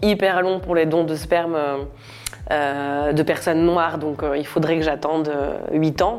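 A woman with a very deep, low voice, a fairly slow pace and fairly even intonation, amid noticeable background noise. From France, Normandy. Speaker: comedian. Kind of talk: personal testimony interview. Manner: casual, laughing often.

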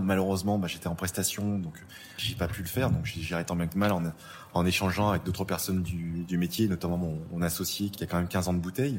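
Speaking at a very fast pace, a man uses a very deep, low voice with fairly even intonation. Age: 40s. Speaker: crime scene cleaner. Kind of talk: interview testimony. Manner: halting, repeats words.

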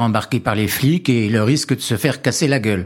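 A man speaks at a moderate pace with a medium pitch and ordinary pitch variation in a normal speaking voice. The recording is very clean, with a silent background. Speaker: witness, former office clerk. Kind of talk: personal testimony.

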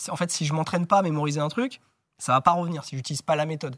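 A fairly high-pitched man rattles through his words at a very fast pace. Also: very clean recording, silent background. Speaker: memory champion. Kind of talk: interview. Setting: studio.

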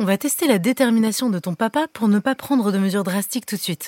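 A woman speaks at a fairly quick pace and medium pitch with ordinary pitch variation, the sound dry and close with no echo. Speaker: fairy godmother character voice. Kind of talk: fairy-tale character dialogue for children.

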